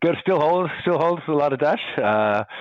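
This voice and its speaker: A man with an Irish accent, moderate pace and lively intonation. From Ireland. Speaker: recruitment company founder. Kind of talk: casual interview chat.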